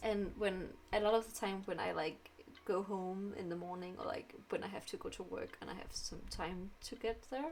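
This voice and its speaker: A woman in a Danish accent speaks at a moderate pace over noticeable background noise. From Denmark. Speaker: streamer. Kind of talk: casual chat. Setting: live stream. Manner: halting.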